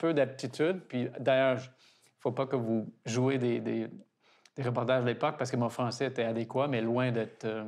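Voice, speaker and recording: Against a quiet background, a man with an English accent talks at a moderate pace. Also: medium pitch for a man, fairly even intonation. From Toronto, Canada. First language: English (speaking French). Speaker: garden director, founder's grandson. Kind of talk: interview. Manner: halting.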